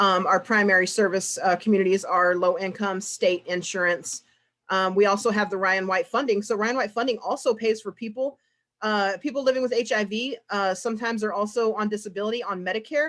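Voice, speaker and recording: A woman talks fairly quickly, her medium pitch moving with ordinary variation. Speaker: peer support specialist at addiction treatment program. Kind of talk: conference presentation. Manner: fast; halting, many fillers and repeats.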